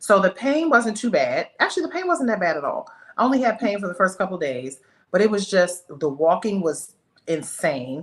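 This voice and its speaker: A woman speaks at a medium pitch. Her voice makes very wide pitch swings. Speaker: real estate agent and women's health advocate. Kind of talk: casual chat. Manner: fast.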